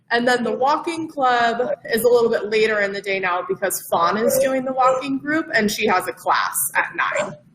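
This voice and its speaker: A woman talks slowly-ish, at a fairly slow pace and a high pitch, with noticeable background noise behind her. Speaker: community events staff presenter. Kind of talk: informal presentation to a live audience.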